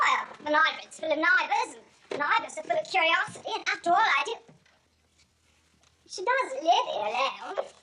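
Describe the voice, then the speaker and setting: A woman's put-on character voice, extremely high in pitch with very wide pitch swings, at a moderate pace with long, frequent pauses. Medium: short film. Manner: guarded, evasive.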